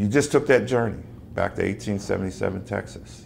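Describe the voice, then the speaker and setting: A man speaks at a moderate pace with ordinary pitch variation and some vocal fry. Light background noise sits behind him. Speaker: actor. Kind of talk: workshop talk to teachers. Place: classroom. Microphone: camera far.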